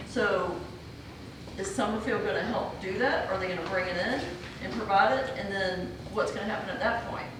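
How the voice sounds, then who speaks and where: A woman's voice comes through noticeable background noise and audible room echo, broken by long, frequent pauses. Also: medium pitch for a woman, ordinary pitch variation, moderate pace. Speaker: mayoral candidate. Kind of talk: candidate forum Q&A.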